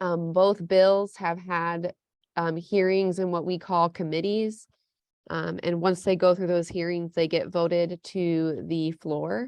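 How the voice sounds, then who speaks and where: Speech at a fairly slow pace in a monotone, flat intonation. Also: woman, fairly low pitch for a woman. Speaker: anti-death-penalty advocate. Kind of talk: online meeting presentation.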